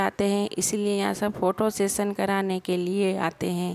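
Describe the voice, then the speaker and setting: The sound is dry and close with no echo, and the intonation stays monotone and flat. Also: woman. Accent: Gujarati. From Gujarat, India. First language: Gujarati (speaking Hindi). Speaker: vlogger. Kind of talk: travel vlog narration.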